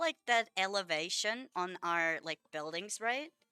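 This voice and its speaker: A woman with a Finnish accent is heard in a dry, close sound with no echo. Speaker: vtuber streamer. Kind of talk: live-stream gameplay chat. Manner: casual, filler-heavy.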